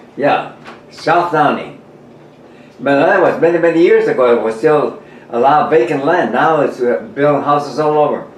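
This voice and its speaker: A man's fairly high voice at a moderate pace with ordinary pitch variation, amid audible room echo and noticeable background noise. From New Mexico. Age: 90s. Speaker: war veteran. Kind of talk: casual chat. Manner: halting.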